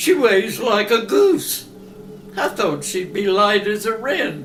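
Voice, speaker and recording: Putting on a character voice at a high pitch, a man talks at a fairly slow pace over clear background noise. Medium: comedy sketch. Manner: sly, gloating.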